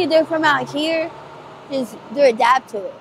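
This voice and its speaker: There is noticeable background noise behind the speaker. A woman talks at a moderate pace with lively intonation. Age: 20s. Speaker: person living on the street with addiction. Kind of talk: street interview. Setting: outdoors on the street. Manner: halting.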